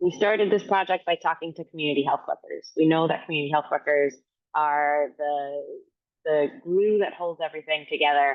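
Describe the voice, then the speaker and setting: A woman with an American accent and a very deep, low pitch, at a fairly quick pace with fairly even intonation. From Miami, Florida; Dominican American. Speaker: physician and health equity researcher. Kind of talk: presentation. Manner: fast.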